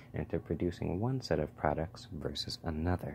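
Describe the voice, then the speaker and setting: A man speaks soft-spoken and somewhat breathy, his very deep, low voice carrying lively intonation. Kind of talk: ASMR textbook reading.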